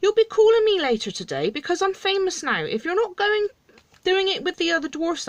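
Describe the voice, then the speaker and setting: A woman puts on a squeaky character voice, extremely high in pitch. She talks at a fairly quick pace. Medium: read story. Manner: surly, dismissive.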